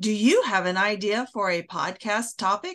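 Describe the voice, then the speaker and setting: A woman talks in an ordinary speaking voice at a fairly high pitch, with ordinary pitch variation over a quiet background. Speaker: podcast host. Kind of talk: casual interview chat.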